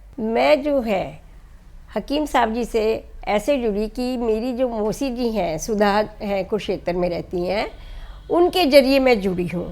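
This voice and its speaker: Lively intonation and a fairly high pitch mark this woman's unremarkable speaking voice. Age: 60s. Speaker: NGO founder. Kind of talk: interview. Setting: at home.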